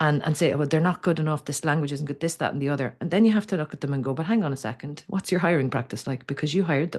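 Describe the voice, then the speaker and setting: Against a quiet background, the speaker talks at a very fast pace with hardly any pauses and ordinary pitch variation. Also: woman, very deep, low pitch for a woman. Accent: Irish. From Ireland. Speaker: communication coach. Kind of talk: interview conversation. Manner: halting, frequent restarts.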